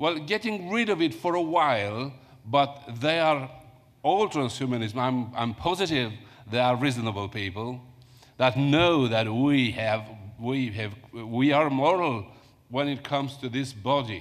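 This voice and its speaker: A man with a Romanian accent speaks at a fairly slow pace. His pitch sits at a medium level and his intonation is lively. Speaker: academic conference panelist. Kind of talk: panel Q&A answer. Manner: halting.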